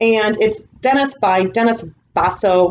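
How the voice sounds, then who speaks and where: A woman's fairly high voice with very wide pitch swings, against light background noise. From US Midwest (Illinois). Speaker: reseller YouTuber; thrift reseller. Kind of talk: haul video monologue. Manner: casual, filler-heavy. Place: home room. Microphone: webcam.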